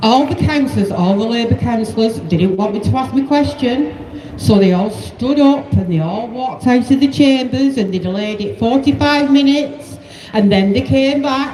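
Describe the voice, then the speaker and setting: A woman's fairly high voice moves at a moderate pace, with audible room echo and noticeable background noise around it. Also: ordinary pitch variation. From northern England, Oldham. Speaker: protest speaker. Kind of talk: rally speech. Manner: loud, addressing crowd.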